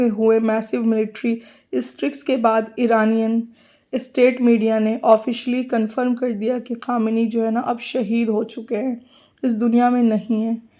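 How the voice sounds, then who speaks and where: A woman with a dark, mellow tone speaks in a monotone, flat intonation on a very clean recording with a silent background. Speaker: news commentator, video creator. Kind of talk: news analysis narration; emotional religious tribute.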